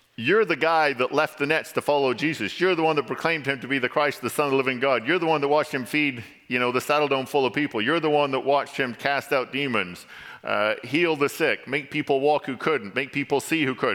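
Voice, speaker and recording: A man with an English accent speaks at a fairly quick pace. His fairly high voice has a bright, sharp tone. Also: ordinary pitch variation. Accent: English, noticeable when reading aloud. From England. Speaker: church elder, lay preacher. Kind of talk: sermon. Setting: church.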